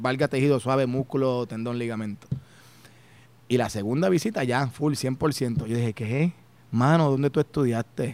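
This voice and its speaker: With a Puerto Rican accent, a man speaks at a moderate pace, his voice medium in pitch with ordinary pitch variation. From Puerto Rico, Humacao and Las Piedras. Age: 40s. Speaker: chiropractor. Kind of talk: interview conversation.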